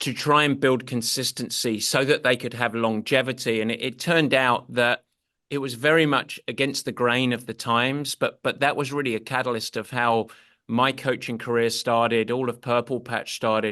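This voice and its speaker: The voice has a bright, sharp tone and an English accent, moving at a moderate pace. Intonation stays fairly even against a quiet background. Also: man, medium pitch for a man. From England. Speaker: endurance sports coach. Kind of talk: podcast interview.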